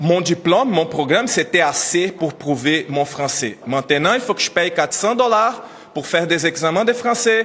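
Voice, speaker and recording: A man with a non-native accent talks at a moderate pace in a high pitch with lively intonation, over noticeable background noise. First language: not French (speaking French). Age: 30s. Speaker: immigrant teacher trainer. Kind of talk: press conference testimony. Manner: emotional, halting.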